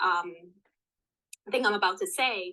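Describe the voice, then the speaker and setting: A woman's bright, sharp, animated tone with ordinary pitch variation at a moderate pace. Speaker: career coach. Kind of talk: interview podcast.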